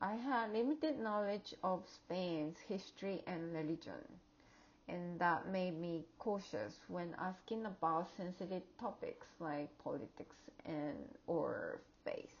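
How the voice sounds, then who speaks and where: At a medium pitch, a woman speaks very slowly with lively intonation. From outside the US. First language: not English. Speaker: graduate student and educator. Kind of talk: class project presentation. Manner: halting, with fillers and restarts.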